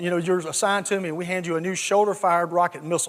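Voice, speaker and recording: A man with a high voice and a slight Southern US accent, very fast delivery, and fairly even intonation. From US South, south Georgia. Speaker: retired army general, tech company CEO. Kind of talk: conference talk. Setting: stage with audience.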